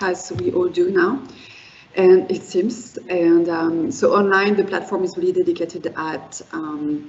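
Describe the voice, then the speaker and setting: A woman with a French accent speaks at medium pitch and a fairly slow pace. Her pitch varies in an ordinary way, and there is noticeable background noise. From France. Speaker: wine and spirits educator. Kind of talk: presentation. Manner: halting, many fillers.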